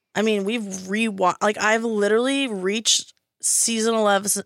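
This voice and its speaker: A plain, everyday voice from a woman, in a very clean recording with a silent background. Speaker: podcast co-host. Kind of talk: casual chat. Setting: studio.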